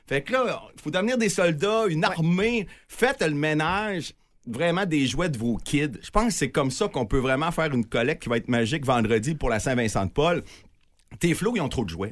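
At a moderate pace, a man talks with a fairly high pitch and very wide pitch swings. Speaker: toy drive organizer. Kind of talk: casual chat. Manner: animated.

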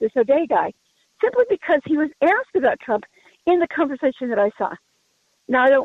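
A woman's high-pitched, fairly quick voice with lively intonation. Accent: American. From Colorado. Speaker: caller. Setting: phone call.

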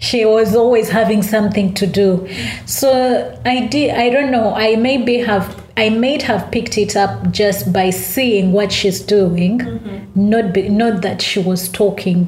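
With a Ugandan accent, a woman of medium pitch speaks at a fairly slow pace with hardly any pauses, ordinary pitch variation and very even loudness, against noticeable background noise. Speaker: author and entrepreneur. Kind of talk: interview, casual chat.

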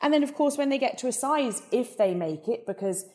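With a southern English accent, a woman speaks in a dark, mellow tone with lively intonation. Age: 40s. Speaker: beauty company CEO. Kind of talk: interview.

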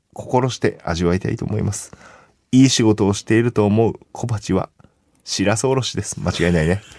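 A man speaks in an ordinary speaking voice. His pitch varies in an ordinary way. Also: fairly low pitch for a man, fairly quick pace. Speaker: radio host and comedian. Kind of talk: casual chat.

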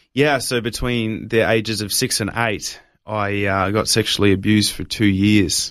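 In a very clean recording with a silent background, a man speaks with an Australian accent. His pitch is fairly low and his intonation fairly even. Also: moderate pace. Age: 20s. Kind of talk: testimony.

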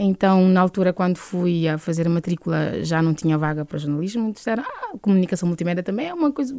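Against noticeable background noise, a woman talks at a fairly quick pace with lively intonation. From Cape Verde, interior of Santiago island. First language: Cape Verdean Creole (speaking Portuguese). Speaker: singer. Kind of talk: interview.

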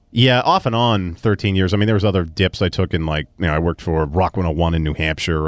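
In a Boston accent, a man talks at a fairly quick pace with ordinary pitch variation, on a very clean recording with a silent background and a dry, close sound without echo. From Melrose, Massachusetts (Boston area). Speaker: sports radio personality. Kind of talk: casual interview chat.

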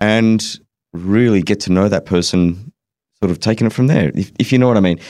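A plain, everyday voice from a man, fairly low in pitch with ordinary pitch variation and a fairly quick pace. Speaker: panelist. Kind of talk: casual panel discussion. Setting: studio.

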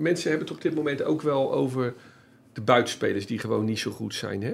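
A man's medium-pitched voice with vocal fry and lively intonation at a moderate pace. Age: 50s. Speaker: football journalist and podcast host. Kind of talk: casual chat.

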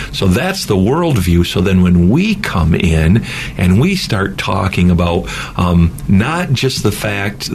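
A man talks at a fairly slow pace in a very deep, low voice. Audible room echo and noticeable background noise run through the recording. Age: 50s. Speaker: mission organization president and former pastor. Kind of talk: interview.

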